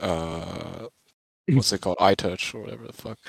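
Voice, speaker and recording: The sound is dry and close, with no echo. A man speaks at a moderate pace with lively intonation. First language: not English. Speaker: art student podcast co-host. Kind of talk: casual chat. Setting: dorm lounge. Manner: halting.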